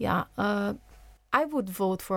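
A woman with a Portuguese accent on a very clean recording with a silent background. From Brazil. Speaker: journalist. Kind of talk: studio discussion. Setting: studio.

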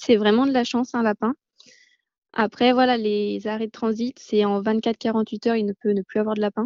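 Her intonation is monotone and flat, with a fairly high pitch at a moderate pace. The woman's voice sounds dry and close with no echo. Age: 20s. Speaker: animal rescue founder. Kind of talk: interview. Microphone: connection dropouts.

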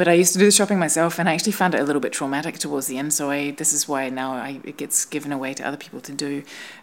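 A woman with a New Zealand accent speaks at a very fast pace with hardly any pauses. Her pitch is very deep and low, and her loudness swings widely. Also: ordinary pitch variation. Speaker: installation artist. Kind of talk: casual chat. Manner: halting.

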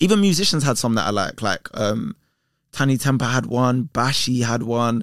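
The speaker has a London accent and a moderate pace, keeping loudness very even. The recording is very clean, with a silent background. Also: man, medium pitch for a man, lively intonation, dry, close sound with no echo. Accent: London Multicultural English. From north London, England. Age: 30s. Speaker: presenter and content creator. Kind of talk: casual chat.

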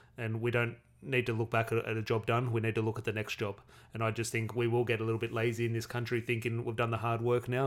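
On a very clean recording with a silent background, a man talks at a very fast pace with a medium pitch and monotone, flat intonation. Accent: Australian. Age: 30s. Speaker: football podcast host. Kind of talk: solo podcast commentary. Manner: casual, with frequent fillers.

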